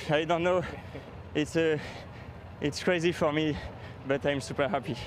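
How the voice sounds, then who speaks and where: At a moderate pace, a man with a fairly high voice speaks at a very even loudness. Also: ordinary pitch variation. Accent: French. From France. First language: French. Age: 20s. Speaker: professional cyclist, race winner. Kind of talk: post-race interview. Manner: halting.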